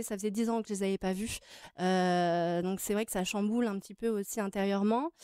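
Against a quiet background, a woman's voice comes through as a dry sound with no echo. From France (Grenoble area), born in Tahiti. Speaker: adoptee sharing her story. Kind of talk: TV interview. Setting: TV studio. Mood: calm, reflective, personal. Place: studio. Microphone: studio mic.

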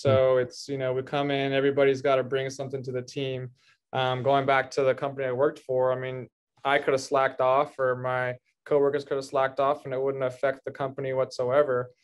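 The speech moves at a fairly quick pace against a quiet background. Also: man. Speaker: podcast guest. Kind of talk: interview answer. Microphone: video call.

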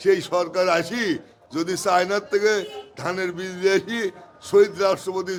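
Noticeable background noise behind a man's high-pitched voice. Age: 60s. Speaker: onion wholesale trader. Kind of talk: interview. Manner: animated.

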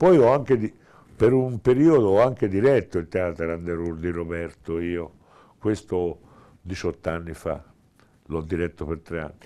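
A man's very deep, low voice with a dark, mellow tone, lively intonation, a fairly slow pace and long, frequent pauses. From Tuscany, Italy. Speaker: theatre director; interviewee. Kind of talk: interview. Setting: small theatre. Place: stage.

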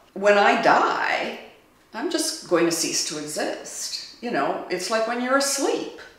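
Speaking very slowly, a woman swings her pitch very widely, and the room echo is audible. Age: 60s. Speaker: interviewee. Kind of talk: interview answer. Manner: frank, reflective. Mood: frank, calm, reflective. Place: studio.

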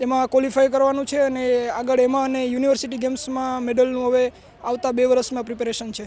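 The man's pitch is extremely high. He speaks in a flat monotone. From Porbandar district, Gujarat, India. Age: 20s. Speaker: athlete. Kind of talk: interview.

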